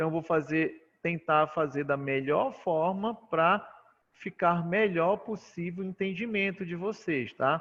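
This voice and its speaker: At a fairly slow pace, a man talks in a high pitch with ordinary variation. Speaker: university lecturer in immunology. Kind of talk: online lecture.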